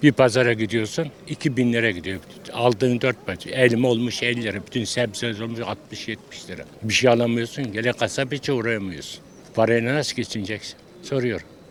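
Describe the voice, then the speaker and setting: Over noticeable background noise, a man talks at a fairly quick pace. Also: medium pitch for a man, fairly even intonation. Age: 80s+. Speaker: retiree, street interview interviewee. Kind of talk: street interview. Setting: outdoors, street.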